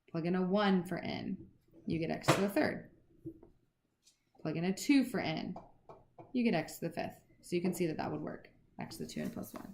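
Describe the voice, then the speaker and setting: In a room with audible echo, a woman with a fairly low pitch and vocal fry talks at a fairly quick pace with lively intonation, broken by long, frequent pauses. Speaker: math teacher. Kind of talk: lecture. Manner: fast.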